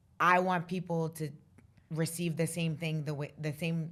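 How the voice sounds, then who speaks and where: A woman speaks in a very deep, low voice with monotone, flat intonation at a moderate pace. The recording is very clean, with a silent background. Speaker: finance professional. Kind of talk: casual chat. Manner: loud.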